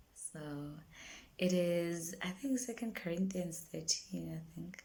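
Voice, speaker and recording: A woman with a South African accent at a very slow pace, long, frequent pauses and big swings in loudness, in audible room echo. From South Africa, Durban. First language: isiZulu. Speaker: singer-songwriter. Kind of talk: casual vlog monologue. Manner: halting, many fillers and repetitions.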